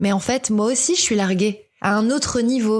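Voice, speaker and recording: An unremarkable speaking voice goes along at a fairly slow pace. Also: woman. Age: 30s. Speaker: podcaster. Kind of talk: personal podcast monologue. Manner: reflective, nostalgic.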